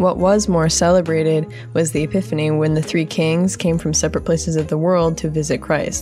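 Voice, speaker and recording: A woman's speech proceeds at a moderate pace while music plays in the background. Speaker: podcast host. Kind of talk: casual podcast talk.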